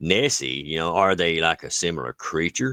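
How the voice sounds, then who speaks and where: In an Appalachian accent, a man speaks with a very deep, low pitch, vocal fry and a bright, sharp tone, his intonation lively. The recording is very clean, dry and close, with a silent background and no echo. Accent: Appalachian hillbilly. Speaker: cryptid podcast co-host. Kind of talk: casual chat. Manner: halting, many fillers.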